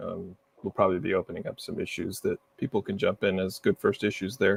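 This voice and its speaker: The man speaks at a fairly quick pace, with a dry, close sound with no echo. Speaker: software engineer. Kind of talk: technical discussion on a livestream. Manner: fast.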